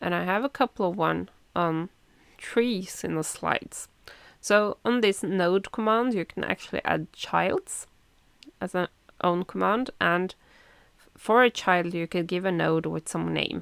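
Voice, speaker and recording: At a fairly slow pace, a woman speaks in a medium pitch with ordinary pitch variation and long, frequent pauses. The recording is very clean, with a silent background and a dry, close sound with no echo. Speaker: tech presenter. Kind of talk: tutorial. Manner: animated.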